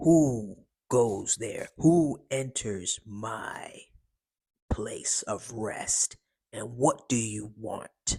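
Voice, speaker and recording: Putting on a character voice, a man speaks very slowly at a medium pitch, his voice raspy. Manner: creepy, unsettling.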